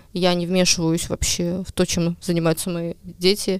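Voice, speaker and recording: A woman speaks slowly in a monotone, flat delivery at a medium pitch. The recording is very clean and silent in the background, with a dry, close sound and no echo. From Estonia, Ida-Viru county. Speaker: journalist. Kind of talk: casual chat.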